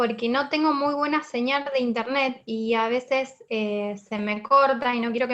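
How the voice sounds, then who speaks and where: A woman at a fairly slow pace, fairly even in intonation, in an unremarkable speaking voice. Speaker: finance lecturer. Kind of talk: online lecture. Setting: video call, camera off. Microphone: poor internet connection.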